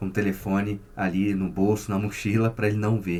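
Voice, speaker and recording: A man with a Rio de Janeiro accent at a moderate pace. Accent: carioca. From Rio de Janeiro, Brazil. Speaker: psychotherapist. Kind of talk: casual vlog monologue.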